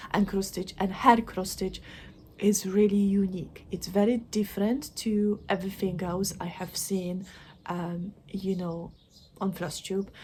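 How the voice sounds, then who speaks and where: A woman speaks at a fairly slow pace. Her voice is somewhat breathy, with monotone, flat intonation. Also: medium pitch for a woman. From Poland. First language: Polish. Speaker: craft vlogger. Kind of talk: casual vlog chat. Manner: halting, many fillers; mumbling.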